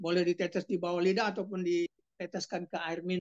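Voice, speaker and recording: At a moderate pace, a woman speaks in a fairly low pitch, the sound dry and close with no echo. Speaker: doctor presenting health products. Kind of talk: sales presentation. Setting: video call. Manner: halting, many fillers; louder after request.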